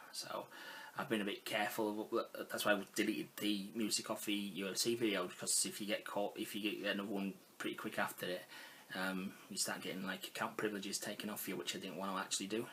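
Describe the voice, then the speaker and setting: A man's very fast, monotone delivery, fairly low in pitch, with a bright, sharp tone and flat intonation. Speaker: gaming vlogger. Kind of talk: casual talk to camera.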